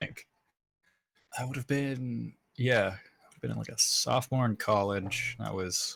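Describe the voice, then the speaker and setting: His pace is fairly slow. Pauses come often and run long in this man's speech. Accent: Pacific Northwest. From US Pacific Northwest (Gresham, Oregon). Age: 20s. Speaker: podcast guest. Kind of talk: casual chat. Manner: casual, many fillers (um, like).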